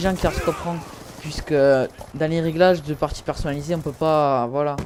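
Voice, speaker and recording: A man with a southern French accent, fairly high in pitch, with fairly even intonation at a moderate pace over noticeable background noise. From southern France. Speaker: gaming YouTuber. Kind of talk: casual gaming chat. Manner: halting, many fillers.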